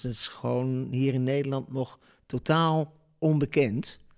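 Very slow in pace, a man talks at a medium pitch. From Netherlands, Deventer. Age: 60s. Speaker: storytelling impresario. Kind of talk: interview. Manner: hesitant, many fillers.

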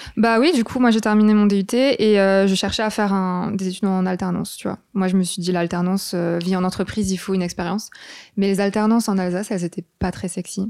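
A woman with an ordinary speaking voice talks at a fairly quick pace at medium pitch with fairly even intonation. The recording is very clean, with a silent background. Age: 20s. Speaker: freelance graphic designer. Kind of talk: casual interview.

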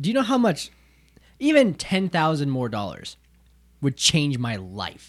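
In a very clean, silent recording, a man with an American accent speaks fairly slowly at a fairly high pitch, his voice swinging very widely, with long, frequent pauses. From not the US South. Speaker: podcast host. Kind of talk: casual chat.

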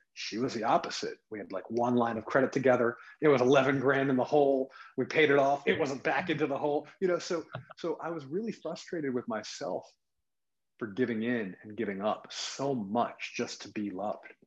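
He has an unremarkable speaking voice and an American accent. The man's pitch is medium, his intonation lively, his pace moderate. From US suburbs. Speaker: wellness coach. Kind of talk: podcast interview.

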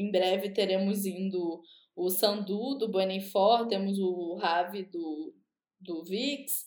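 A woman's medium-pitched voice at a very slow pace, with fairly even intonation and audible room echo. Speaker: podcast co-host. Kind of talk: casual chat.

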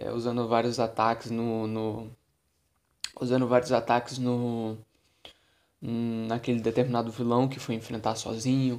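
Monotone and flat, a man speaks at medium pitch and a fairly slow pace. Long pauses come often. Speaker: podcast host, tabletop RPG game master. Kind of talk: solo podcast monologue. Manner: casual, conversational.

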